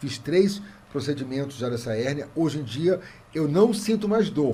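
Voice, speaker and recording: A man is speaking. His tone is dark and mellow. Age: 60s. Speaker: comedian. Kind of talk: casual chat. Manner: animated.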